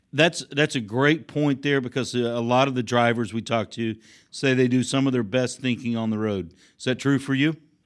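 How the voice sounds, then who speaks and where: A man speaks in an ordinary speaking voice at a moderate pace with fairly even intonation. The recording is very clean with a silent background. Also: medium pitch for a man. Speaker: podcast host. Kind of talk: interview.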